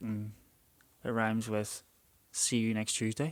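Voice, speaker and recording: In a Northern Irish accent, a man talks at medium pitch in a very clean recording with a silent background. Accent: Northern Irish (Belfast). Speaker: podcast co-host. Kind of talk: casual chat.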